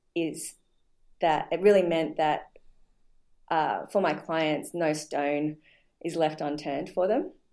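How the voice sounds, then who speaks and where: With an Australian accent, a woman speaks at a very deep, low pitch in a dark, mellow tone. Her pace is very slow and her intonation fairly even. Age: 40s. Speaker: nutrition practitioner and personal trainer. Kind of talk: interview. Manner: halting, many fillers.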